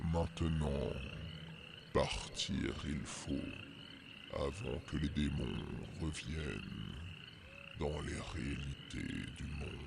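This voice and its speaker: Using a put-on character voice, a man talks very slowly with long, frequent pauses over loud background noise. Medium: actual play. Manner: solemn, archaic, inverted syntax.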